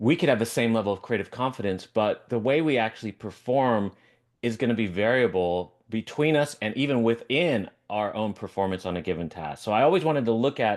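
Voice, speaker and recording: Against a quiet background, a man talks at a fairly quick pace with medium pitch and lively intonation. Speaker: professor. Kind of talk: lecture; casual chat. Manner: fast.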